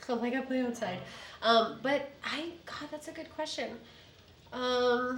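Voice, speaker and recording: A woman with an American accent speaks in an animated tone at a high pitch, with ordinary pitch variation and big swings in loudness. Long, frequent pauses break her speech, and room echo is audible. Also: fairly slow pace. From Chicago. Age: 30s. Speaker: real estate agent. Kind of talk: casual chat. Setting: podcast studio.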